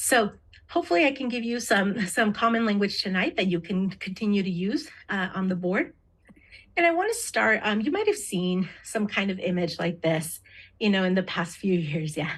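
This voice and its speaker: At a moderate pace, a woman speaks with lively intonation and a medium pitch, sounding somewhat breathy. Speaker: diversity trainer and interpreter. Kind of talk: training presentation.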